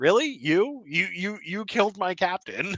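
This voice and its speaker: Moderate-paced, high-pitched put-on character voice from a man. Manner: incredulous.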